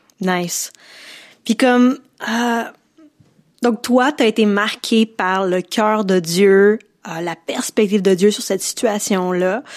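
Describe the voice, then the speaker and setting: A woman with a Quebec accent at medium pitch, with ordinary pitch variation, a very slow pace and long, frequent pauses, on a very clean recording with a silent background. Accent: Québécois French. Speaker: podcast host. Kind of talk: interview.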